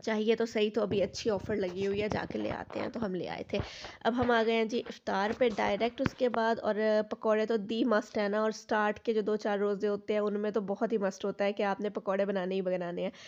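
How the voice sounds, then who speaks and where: In a monotone, flat intonation, a woman with a fairly high pitch talks at a moderate pace. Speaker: vlogger. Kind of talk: casual vlog narration.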